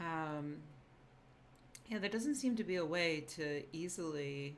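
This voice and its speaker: A quiet woman's voice, fairly low in pitch, with lively intonation, a very slow pace and audible room echo. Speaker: YouTuber and science writer. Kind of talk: casual livestream chat. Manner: loud; trying to speak quietly.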